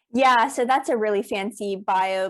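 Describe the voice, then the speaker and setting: With an American accent and a plain, everyday voice, a woman speaks at medium pitch and a moderate pace on a very clean recording with a silent background. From South Africa. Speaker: accountant and business coach. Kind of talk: podcast interview.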